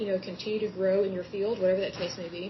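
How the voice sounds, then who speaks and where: A woman with an American accent, over noticeable background noise. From Oklahoma (Yukon). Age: 30s. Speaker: podcast host. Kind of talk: solo podcast monologue. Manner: conversational, repetitive.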